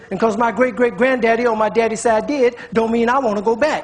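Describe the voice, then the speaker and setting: Over noticeable background noise, the speech runs fairly quickly with an American accent. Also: man. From United States. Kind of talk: spoken word poetry performance.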